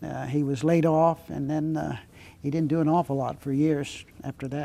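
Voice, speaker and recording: With an American accent, a man talks at a moderate pace in a fairly high voice with a dark, mellow tone and fairly even intonation. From Pennsylvania, US. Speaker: war veteran, Navy pilot. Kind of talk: interview.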